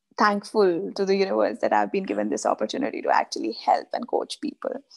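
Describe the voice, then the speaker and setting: A woman speaks with an Indian accent. The background is quiet. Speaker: life coach. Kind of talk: interview. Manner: hesitant, many filler sounds. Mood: calm, reflective, thankful. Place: home room. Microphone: video call.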